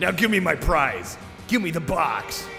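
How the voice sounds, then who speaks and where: Over clear background music, a man does a gruff, high-pitched put-on character voice at a moderate pace. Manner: shouting, demanding.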